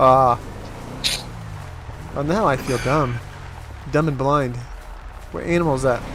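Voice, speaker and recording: A man at a fairly slow pace with long, frequent pauses, audible room echo and music in the background. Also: medium pitch for a man, ordinary pitch variation. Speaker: streamer. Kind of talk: casual chat.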